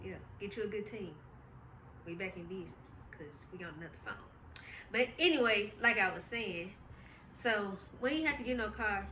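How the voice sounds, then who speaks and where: In a room with audible echo, a woman speaks with lively intonation, big swings in loudness, and long, frequent pauses. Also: medium pitch for a woman, moderate pace. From US South, Memphis, Tennessee. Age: 20s. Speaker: podcast host. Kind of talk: casual chat. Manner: chatty, informal.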